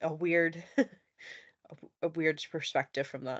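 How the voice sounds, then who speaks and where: This woman has an American accent. She delivers her words in a flat monotone. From United States. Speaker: podcast panel guest. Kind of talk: panel discussion.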